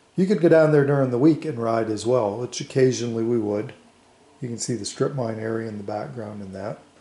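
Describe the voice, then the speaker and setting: A man's voice with audible room echo. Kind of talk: casual reminiscing show-and-tell. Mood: nostalgic, relaxed. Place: home room. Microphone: phone near.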